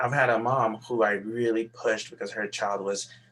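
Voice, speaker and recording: Speaking at a fairly quick pace, a man has a medium pitch and a bright, sharp tone. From Nigeria. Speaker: pediatrician. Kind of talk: interview. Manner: halting.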